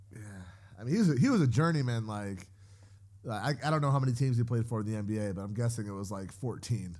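A medium-pitched man at a very fast pace in an animated tone. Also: ordinary pitch variation. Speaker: podcast co-host. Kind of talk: casual chat. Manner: animated, joking.

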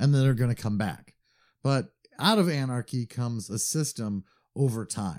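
Lively intonation marks this man's plain, everyday voice at a medium pitch. He speaks at a moderate pace on a very clean recording with a silent background. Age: 40s. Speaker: podcast co-host. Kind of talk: casual chat.

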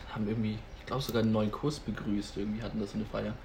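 With audible room echo, a man speaks at a very fast pace in a somewhat breathy voice, his pitch varying in an ordinary way. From Franconia, Germany (Nuremberg). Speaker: nurse. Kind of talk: casual chat.

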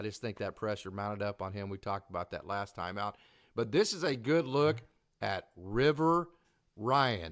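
This man has a fairly low voice with an Oklahoma accent. His intonation is lively. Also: moderate pace, very clean recording, silent background. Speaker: baseball podcast host. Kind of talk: casual sports talk show. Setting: live stream.

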